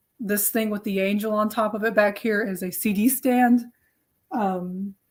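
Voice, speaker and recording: With an American accent, a woman speaks at a moderate pace in a fairly high, somewhat breathy voice and a monotone, flat intonation. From US South, Nashville, Tennessee. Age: 20s. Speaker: artist standing in as live stream host. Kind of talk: casual live stream chat.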